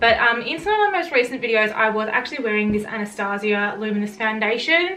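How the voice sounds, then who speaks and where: With music in the background and audible room echo, a woman speaks at a very fast pace in a fairly high pitch with ordinary pitch variation. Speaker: beauty vlogger. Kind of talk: casual product review monologue.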